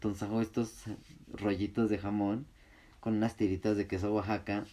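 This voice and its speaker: Against a quiet background, a man with a medium pitch and a dark, mellow tone speaks at a moderate pace. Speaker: podcaster. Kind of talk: casual chat. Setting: home room, gaming. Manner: casual, laid-back.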